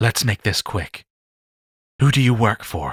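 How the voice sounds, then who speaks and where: A man uses a put-on character voice at medium pitch and a fairly slow pace, with a dry, close sound and no echo. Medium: read story. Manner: clipped, curt.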